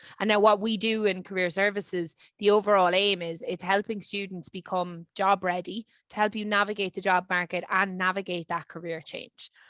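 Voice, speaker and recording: A woman's medium-pitched voice in a Dublin accent, with monotone, flat intonation, a moderate pace and a dry, close sound with no echo. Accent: Irish (Dublin). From Ireland, Dublin. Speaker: career services lead. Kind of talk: webinar presentation.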